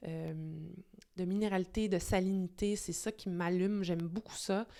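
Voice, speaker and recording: A woman talks with a Quebec accent. Her pitch is medium, with ordinary variation, and her pace is moderate. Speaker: wine video host. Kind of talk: casual vlog monologue. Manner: hesitant, many fillers; enthusiastic.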